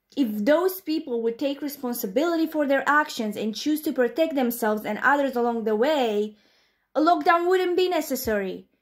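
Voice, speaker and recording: A very clean recording with a silent background carries speech at a moderate pace with ordinary pitch variation. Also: woman. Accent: non-native. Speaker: commentary youtuber. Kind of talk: commentary response video.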